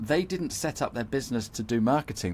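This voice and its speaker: Vocal fry runs through this man's lively, fairly quick speech on a very clean recording with a silent background. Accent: southern English. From UK. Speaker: marketing expert for accountants. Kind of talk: interview podcast. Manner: repetitive false starts.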